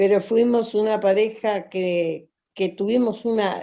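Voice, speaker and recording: This woman has a medium-pitched voice. Its tone comes across as dark and mellow. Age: 70s. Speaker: folk dancer and dance teacher. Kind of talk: interview. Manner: halting, many fillers.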